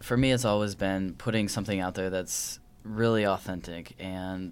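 A man with an American accent and a plain, everyday voice talks at a moderate pace with fairly low pitch and fairly even intonation, on a very clean recording with a silent background. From Wisconsin. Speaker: filmmaker and actor. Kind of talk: interview.

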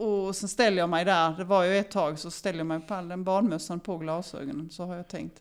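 A woman with a normal speaking voice talks at a moderate pace in a fairly low pitch, on a very clean recording with a silent background. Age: 50s. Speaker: former elite swimmer. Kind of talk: interview.

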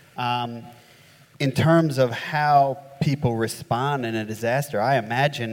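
Fairly slow, fairly even speech in a man's medium pitch. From US, upstate New York. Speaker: flood engineering consultant. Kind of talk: panel discussion. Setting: stage with audience. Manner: casual, hesitant fillers.

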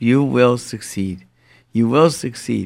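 On a very clean recording with a silent background, a man talks at a fairly slow pace with lively intonation. He has an unremarkable speaking voice at a medium pitch. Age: 50s. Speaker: parenting lecturer and public speaker. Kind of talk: radio talk show chat.

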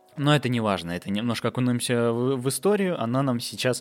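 Speaking at medium pitch, a man lets his voice rise and fall with ordinary variation. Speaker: podcast host. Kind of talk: solo monologue. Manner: animated.

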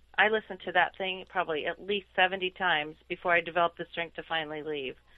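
At a fairly quick pace, a woman speaks in an unremarkable speaking voice with fairly even intonation. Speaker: attorney. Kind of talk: casual chat.

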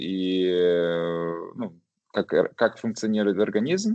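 The man speaks at a very slow pace. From western Ukraine, Lviv. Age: 30s. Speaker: IT project manager. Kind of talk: casual chat.

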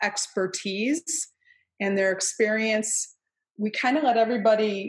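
Speaking at a fairly slow pace, a woman with an unremarkable speaking voice has a fairly high pitch and ordinary pitch variation. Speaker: author and trainer. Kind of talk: interview conversation. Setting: video call.

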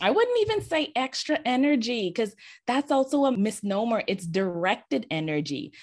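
The voice swings very widely in pitch against a quiet background. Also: woman. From Bahamas. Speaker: executive communication coach. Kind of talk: interview.

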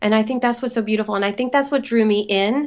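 In a quiet background, a woman with an American accent and a plain, everyday voice speaks at a fairly high pitch with ordinary pitch variation. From Philadelphia, US. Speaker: yoga teacher. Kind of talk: interview.

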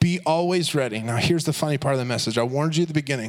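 Noticeable background noise fills the recording. Over it, a man talks in a fairly high voice. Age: 30s. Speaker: youth pastor. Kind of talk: sermon. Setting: church. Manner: animated.

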